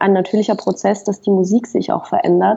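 A woman speaks with ordinary pitch variation. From Western Switzerland, Fribourg. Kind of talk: casual interview.

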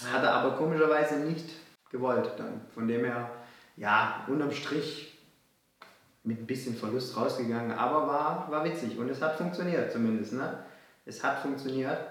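The speech moves at a moderate pace with ordinary pitch variation, long and frequent pauses, and audible room echo. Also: man, fairly high pitch for a man. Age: 20s. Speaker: entrepreneur. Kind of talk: casual chat.

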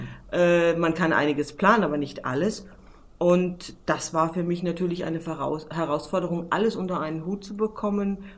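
Speaking at a moderate pace with fairly even intonation, a woman has an ordinary speaking voice and a fairly low pitch. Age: 40s. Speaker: PR manager and travel journalist. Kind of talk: interview.

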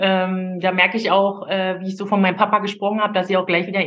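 A woman speaks at a medium pitch. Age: 40s. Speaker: coaching client, single mother. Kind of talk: personal testimony. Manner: halting, many fillers.

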